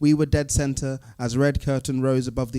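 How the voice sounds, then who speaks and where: Dark, mellow tone in a man's voice of medium pitch. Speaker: spoken word poet. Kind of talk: live poetry performance.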